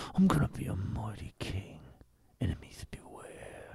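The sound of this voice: A put-on character voice comes out raspy and low-pitched. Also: moderate pace.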